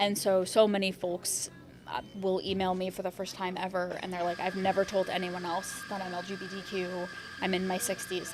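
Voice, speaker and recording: Monotone, flat speech in an American accent at a fairly quick pace, with music in the background. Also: woman, medium pitch for a woman. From rural US Midwest. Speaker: LGBTQ mental health advocate. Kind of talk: interview conversation.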